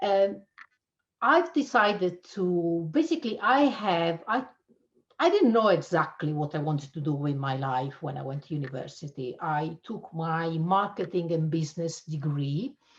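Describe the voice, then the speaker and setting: With an Italian accent, a woman speaks at a moderate pace in a fairly low, somewhat breathy voice with lively intonation. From Italy (Abruzzo). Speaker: cybersecurity channel manager. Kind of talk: interview.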